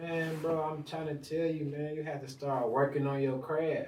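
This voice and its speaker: Against audible room echo, a man speaks with a fairly high pitch and monotone, flat intonation. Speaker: rapper. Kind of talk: casual chat. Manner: fast.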